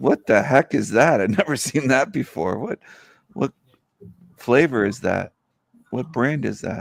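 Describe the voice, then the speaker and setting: A man with vocal fry and lively intonation takes long, frequent pauses, recorded with a dry, close sound and no echo. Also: medium pitch for a man, fairly slow pace. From Minnesota, US Midwest. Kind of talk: casual chat.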